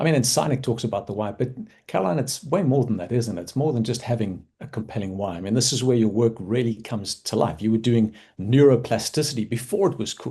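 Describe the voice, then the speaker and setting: Against a quiet background, a man talks very fast in a somewhat breathy, dark and mellow voice at a medium pitch with ordinary pitch variation. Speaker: doctor and podcast host. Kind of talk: interview.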